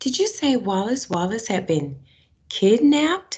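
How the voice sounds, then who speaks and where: This put-on character voice sits fairly high in pitch and sounds shaky, with very wide pitch swings. The delivery moves at a moderate pace. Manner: nervous, hesitant.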